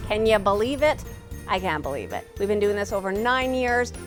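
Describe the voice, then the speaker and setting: Over music in the background, a woman talks at a medium pitch with ordinary pitch variation. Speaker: TV show host. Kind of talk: show host introduction.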